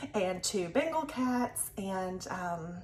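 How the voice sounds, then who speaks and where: Over noticeable background noise, a woman with a Southern US accent and medium pitch lets her voice swing very widely. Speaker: crafting vlogger. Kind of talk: casual chat. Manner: casual, filler-heavy.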